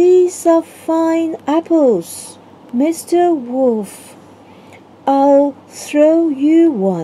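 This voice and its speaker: A put-on character voice delivers its lines at a high pitch and a very slow pace. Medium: read story.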